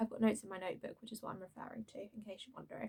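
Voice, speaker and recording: A woman speaks in a somewhat breathy voice. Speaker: drama school student. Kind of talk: casual talk to camera.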